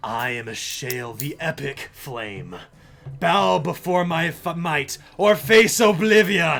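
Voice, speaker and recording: In a put-on character voice, a man speaks raspy and at a fairly slow pace, with a fairly high pitch. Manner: menacing, commanding.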